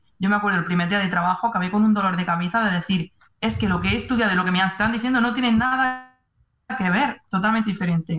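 Her loudness stays very even as she talks at a very fast pace with ordinary pitch variation. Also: medium pitch for a woman. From Spain. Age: 20s. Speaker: nurse. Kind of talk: casual chat.

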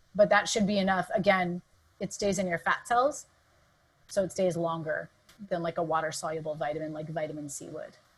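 This woman speaks at a fairly quick pace. Her voice is somewhat breathy, with ordinary pitch variation. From Southern California. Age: 40s. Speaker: dietitian and exercise physiologist. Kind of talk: interview conversation. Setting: video call.

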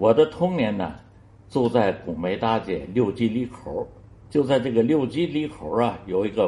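A man at medium pitch, dark and mellow in tone, with lively intonation and a fairly slow pace. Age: 80s+. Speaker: elderly listener-contributor sharing memories. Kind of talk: recorded storytelling reminiscence. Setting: self-recorded audio file sent to the show.

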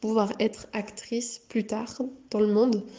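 A woman speaks at a fairly high pitch in a dark, mellow tone. Her intonation stays monotone and flat. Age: 20s. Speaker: psychomotor therapist. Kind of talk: interview. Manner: halting.

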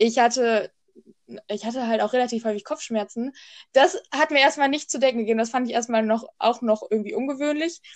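The woman's pitch is high, with ordinary variation. She talks at a fairly quick pace. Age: 20s. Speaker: podcast co-host. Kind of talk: casual chat.

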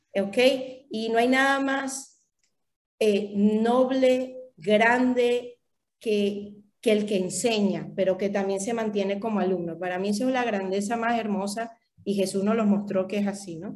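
A plain, everyday voice, a woman at medium pitch, fairly slow pace, fairly even intonation. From Venezuela (Valencia and Caracas). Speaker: holistic therapist and translator. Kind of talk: casual interview.

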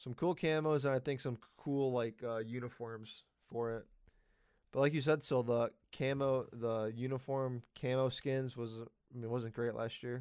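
Very clean recording with a silent background, a man at medium pitch with a plain, everyday voice, fairly even intonation and a fairly slow pace. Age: 20s. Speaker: gaming podcast host. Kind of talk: casual chat.

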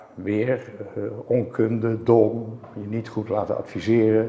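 A man talks at a very slow pace. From Netherlands, Zeist. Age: 70s. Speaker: entrepreneur. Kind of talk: interview.

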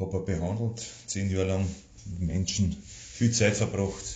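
A man with a Lower Austrian accent speaks in a very deep, low voice with vocal fry and ordinary pitch variation, at a fairly slow pace. Long, frequent pauses break up his speech, and the room echo is audible. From Austria, Waldviertel (Lower Austria). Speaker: singer-songwriter. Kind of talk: personal monologue. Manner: informal, dialect-colored.

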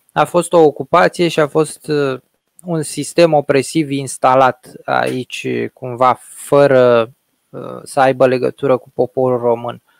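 A man speaks at a medium pitch and a very slow pace, with fairly even intonation. The sound is dry and close, with no echo. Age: 30s. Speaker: podcast host. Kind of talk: interview.

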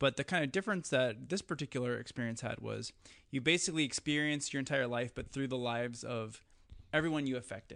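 Against a quiet background, a man at medium pitch speaks very fast with ordinary pitch variation. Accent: Upper Midwest. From US Midwest, west central Wisconsin. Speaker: documentary filmmaker and podcaster. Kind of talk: casual chat.

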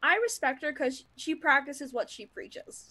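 A woman speaks in a raised, projected voice with a bright, sharp tone. Her pitch swings very widely, and the recording is very clean with a silent background. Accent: American. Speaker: co-host. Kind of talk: casual chat. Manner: animated, enthusiastic, filler-heavy.

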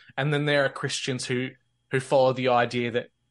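The speaker has an Australian accent. The intonation stays monotone and flat. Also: man, quiet background. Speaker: podcast host and roundtable organizer. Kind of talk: roundtable discussion on faith and conspiracies.

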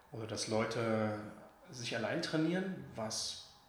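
Over noticeable background noise and audible room echo, a man speaks very slowly at a medium pitch with lively intonation. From Leipzig, Saxony, eastern Germany. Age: 30s. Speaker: sports physiotherapist. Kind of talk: interview conversation. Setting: in person at a physiotherapy practice.

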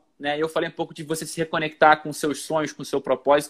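A man speaks in an energetic tone. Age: 30s. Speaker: motivational speaker and author. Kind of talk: casual interview on Instagram live. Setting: livestream video call.

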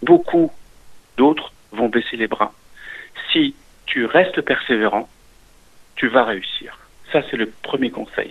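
A man's very slow speech, full of long, frequent pauses. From eastern France (Alsace), Italian immigrant family. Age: 60s. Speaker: business owner, restaurant franchisee. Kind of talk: interview.

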